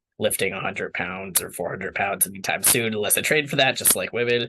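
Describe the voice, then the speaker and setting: This man's voice has a bright, sharp tone. It sits at a medium pitch. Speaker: water professional, interview guest. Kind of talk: interview. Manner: casual, filler-heavy.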